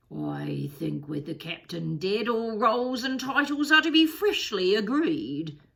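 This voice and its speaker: A woman uses a put-on character voice, talking at a fairly slow pace with a fairly high pitch. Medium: read story. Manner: menacing.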